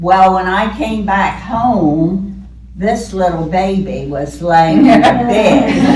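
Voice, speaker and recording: A woman speaking very slowly, with audible room echo and noticeable background noise. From Ocean View, Delaware. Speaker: local elder storyteller. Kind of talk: oral history reminiscence. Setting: community event with audience. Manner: loud. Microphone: may speak without microphone.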